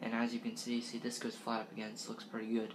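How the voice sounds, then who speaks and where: Noticeable background noise surrounds a man whose speech shows ordinary pitch variation. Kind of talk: casual show-and-tell vlog. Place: kitchen. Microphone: webcam.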